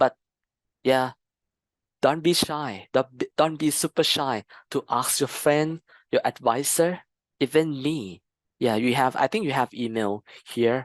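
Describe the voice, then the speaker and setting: The speech moves at a fairly slow pace with long, frequent pauses against a quiet background. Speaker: customer consultant giving a training talk. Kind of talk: lecture Q&A.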